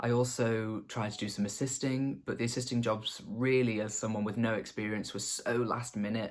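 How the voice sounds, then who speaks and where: A slight Scouse accent, fairly even intonation and a fairly quick pace. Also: man. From northwest England, the Wirral near Liverpool. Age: 20s. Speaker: makeup artist. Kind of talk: casual get-to-know-me vlog.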